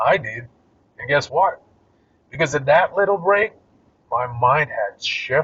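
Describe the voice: A man speaks at a slow pace with a slightly husky edge. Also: fairly high pitch for a man, lively intonation.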